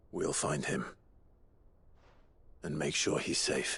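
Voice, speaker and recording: A man adopts a raspy, put-on character voice. He speaks at a fairly slow pace. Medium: video game. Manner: calm, resolute.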